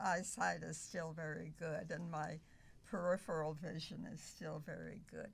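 With an American accent, a woman speaks at a moderate pace in a very deep, low pitch with vocal fry and fairly even intonation. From US Northeast. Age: 100s. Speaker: centenarian volunteer worker. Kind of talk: casual interview chat.

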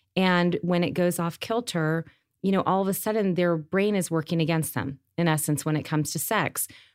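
A woman with an American accent and a plain, everyday voice speaks at a moderate pace and a fairly low pitch, with fairly even intonation and very even loudness, in a very clean recording with a silent background. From upstate New York, Rochester. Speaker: pharmaceutical entrepreneur. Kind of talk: interview conversation.

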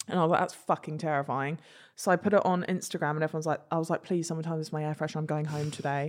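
A woman speaks with fairly even intonation. Her pitch is fairly low. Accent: English. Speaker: social media influencer. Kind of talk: casual chat.

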